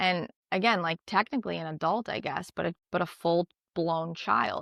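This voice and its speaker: A woman with an American accent talks at a moderate pace in a fairly low voice with vocal fry and lively intonation. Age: 30s. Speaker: podcast host, single mom. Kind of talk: casual chat. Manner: animated.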